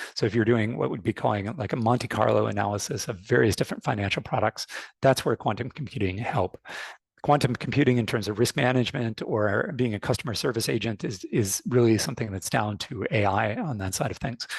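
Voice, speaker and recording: A somewhat breathy man in a North American accent talks at a fairly quick pace, medium in pitch and ordinary in pitch variation. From United States (born in Canada). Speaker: fintech industry expert. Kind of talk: webinar panel talk. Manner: frequent fillers and repetitions.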